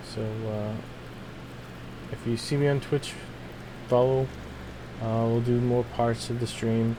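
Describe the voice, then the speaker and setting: Noticeable background noise sits behind a man speaking at a fairly slow pace. His intonation is monotone and flat, broken by long, frequent pauses. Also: medium pitch for a man. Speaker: gaming streamer. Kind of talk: casual chat. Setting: live stream. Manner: hesitant, many fillers. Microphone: voice may be too quiet on mic.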